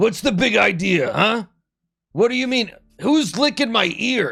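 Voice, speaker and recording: Putting on an angry character voice, a man talks at a moderate pace in an extremely high, raspy pitch with lively intonation. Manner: gruff, angry, bewildered.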